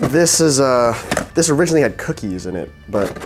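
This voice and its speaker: Music plays underneath as a man's pitch swings very widely. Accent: American. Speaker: vlogger. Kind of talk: scripted narration; casual vlog talk.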